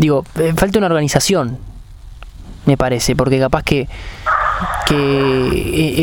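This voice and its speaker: A man in a Rioplatense accent at a fairly slow pace, with ordinary pitch variation amid noticeable background noise. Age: 20s. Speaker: sports podcast host. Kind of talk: interview. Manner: halting, repeats words.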